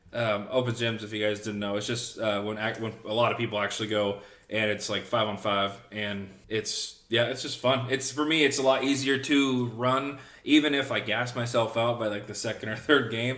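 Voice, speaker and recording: Audible room echo surrounds a man of medium pitch who speaks with fairly even intonation. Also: moderate pace. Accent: American. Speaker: podcast co-host. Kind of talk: casual chat.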